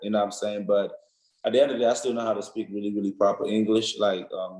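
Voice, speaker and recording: This man has an African accent. His pitch is medium for a man. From Nigeria. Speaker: college football player. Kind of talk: interview. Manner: casual, many fillers.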